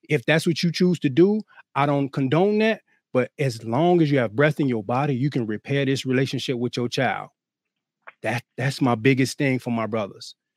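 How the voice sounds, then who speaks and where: An ordinary speaking voice from a man, fairly high in pitch, with lively intonation and a moderate pace. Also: dry, close sound with no echo. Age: 30s. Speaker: co-parenting coach and speaker. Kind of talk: casual chat.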